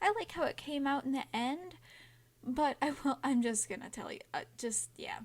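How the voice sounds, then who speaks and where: Her voice is high-pitched, and this woman's pitch swings very widely. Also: moderate pace. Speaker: digital artist. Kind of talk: casual art process voiceover. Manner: rambling.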